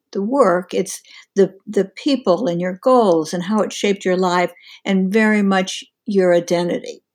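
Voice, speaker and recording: In a plain, everyday voice, a woman speaks at a medium pitch and a fairly slow pace, with ordinary pitch variation. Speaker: career coach. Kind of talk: casual interview conversation.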